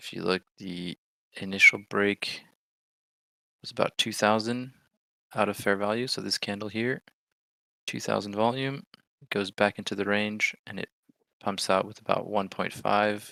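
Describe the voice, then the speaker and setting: A man with an American accent speaks at a moderate pace, leaving long, frequent pauses. His intonation is fairly even, and the sound is dry and close with no echo. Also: fairly low pitch for a man, big swings in loudness. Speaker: livestream trading host. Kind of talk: live trading commentary. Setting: livestream.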